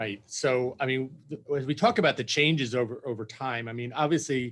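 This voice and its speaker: A man's ordinary speaking voice, medium in pitch, with ordinary pitch variation. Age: 60s. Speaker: PR executive, former press secretary. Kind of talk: casual interview chat.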